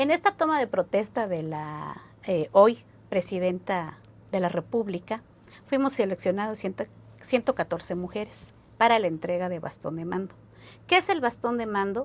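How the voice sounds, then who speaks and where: A woman's medium-pitched voice at a moderate pace, with lively intonation and long, frequent pauses. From San Juan Chamula, Chiapas, Mexico. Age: 30s. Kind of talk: interview answer.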